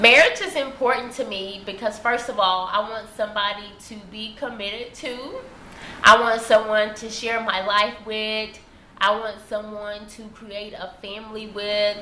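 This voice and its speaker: A woman with a Texas accent speaks at a fairly high pitch and fairly slow pace, with monotone, flat intonation and big swings in loudness. Audible room echo and noticeable background noise fill the recording. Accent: Southern US (Texas). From Texas, southeast rural. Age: 20s. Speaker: vlogger. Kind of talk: personal video monologue.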